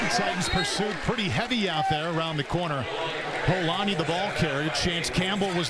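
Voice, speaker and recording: Fairly quick delivery at very even loudness, ordinary pitch variation, noticeable background noise underneath. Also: man. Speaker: play-by-play announcer. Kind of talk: live commentary. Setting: stadium broadcast booth.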